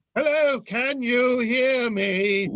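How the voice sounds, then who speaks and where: The speaker does a put-on character voice with ordinary pitch variation. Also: man, extremely high pitch for a man. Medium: comedy sketch. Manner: testy, theatrical.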